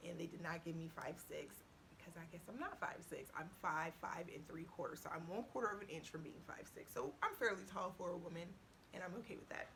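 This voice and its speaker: In a room with audible echo, a woman talks quickly in an animated tone. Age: 30s. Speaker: YouTuber. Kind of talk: casual vlog Q&A.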